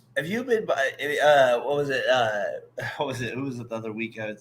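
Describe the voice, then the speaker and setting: The speech comes in an American accent at a very fast pace. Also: man. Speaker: sports podcast host. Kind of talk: casual chat.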